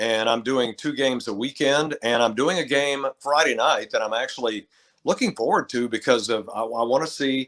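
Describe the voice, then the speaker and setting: A man with a plain, everyday voice talks at medium pitch and a moderate pace, with ordinary pitch variation. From Texas (Lubbock). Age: 60s. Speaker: retired sports radio broadcaster. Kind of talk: casual interview chat.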